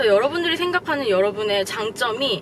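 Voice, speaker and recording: A woman's fairly high voice at a moderate pace, with very wide pitch swings and noticeable background noise. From South Korea. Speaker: career advice vlogger. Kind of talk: vlog advice talk.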